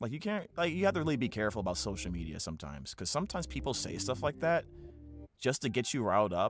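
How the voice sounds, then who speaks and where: With music in the background, a man at a medium pitch talks at a very fast pace with very wide pitch swings. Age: 40s. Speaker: voice actor and streamer. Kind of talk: casual livestream chat. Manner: halting, many restarts.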